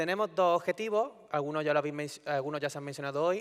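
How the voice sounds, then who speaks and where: This man has a slight Andalusian accent, a fairly high pitch and ordinary pitch variation. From Andalusia, Spain (Córdoba). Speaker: EU energy policy official. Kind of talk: conference talk. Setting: conference stage with audience. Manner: conversational, informal.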